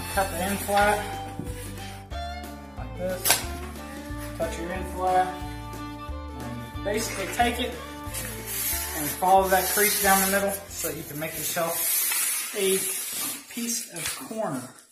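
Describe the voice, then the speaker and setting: A man speaks at a fairly slow pace with long, frequent pauses. Clear music plays in the background. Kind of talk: tutorial. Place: home room. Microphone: phone near.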